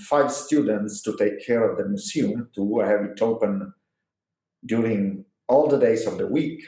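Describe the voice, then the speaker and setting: A man with an Italian accent speaks at a fairly slow pace. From Italy. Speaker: physics professor. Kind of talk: interview. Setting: historical university building.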